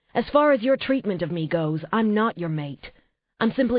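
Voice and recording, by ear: Reading aloud in a natural voice with lively intonation, against a quiet background.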